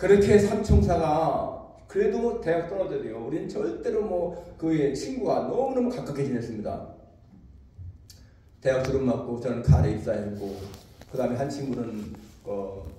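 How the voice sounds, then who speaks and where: A man with a fairly high pitch talks at a moderate pace, his pitch swinging very widely, with long, frequent pauses. Noticeable background noise and audible room echo are present. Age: 70s. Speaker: pastor. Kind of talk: sermon.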